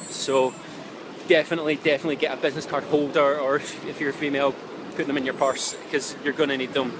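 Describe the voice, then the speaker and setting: A man with a Scottish accent talks at a very fast pace, his pitch fairly high and his intonation monotone and flat. Noticeable background noise runs underneath. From Scotland. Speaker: relocation vlogger. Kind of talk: live-streamed travel advice talk. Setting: outdoors in city street, live stream. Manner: casual, many filler ums.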